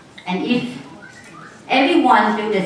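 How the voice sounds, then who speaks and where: A woman speaks at a fairly slow pace with lively intonation. Noticeable background noise and audible room echo surround her. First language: not English. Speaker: network marketing distributor. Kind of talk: motivational training talk.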